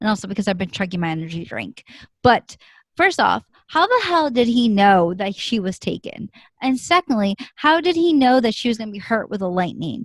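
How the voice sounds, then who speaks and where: Somewhat breathy, a woman speaks at a fairly quick pace and a fairly high pitch, with very wide pitch swings. The sound is dry and close, with no echo. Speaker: drama review vlogger. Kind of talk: casual chat. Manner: fast.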